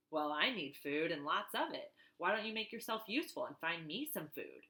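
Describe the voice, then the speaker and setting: Using a put-on, gruff character voice, a female-sounding speaker at a medium pitch for a woman talks at a moderate pace with very wide pitch swings. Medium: read story.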